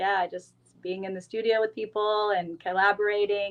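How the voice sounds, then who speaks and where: A woman with a Californian accent speaks at medium pitch with monotone, flat intonation. Music plays in the background. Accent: Californian American. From Northern California (Auburn). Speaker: singer-songwriter. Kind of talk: casual interview.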